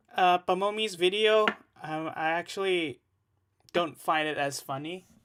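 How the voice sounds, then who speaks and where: A man with an Indonesian accent speaks at a fairly slow pace in a raised, projected voice. His pitch is high and his tone bright and sharp. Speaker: music producer and streamer. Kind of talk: casual live stream chat. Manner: hesitant, many fillers.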